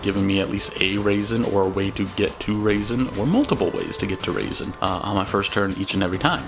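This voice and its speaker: With music in the background, a man speaks fairly quickly in a fairly low voice with fairly even intonation. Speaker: card game content creator. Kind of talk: deck profile talk to camera. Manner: casual.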